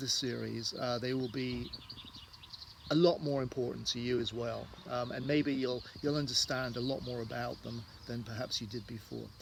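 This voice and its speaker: This voice has a southwest English accent and ordinary pitch variation. The pace is moderate. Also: man. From southwest England, Devon. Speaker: tour guide. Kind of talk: casual talk to camera. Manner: halting, many fillers.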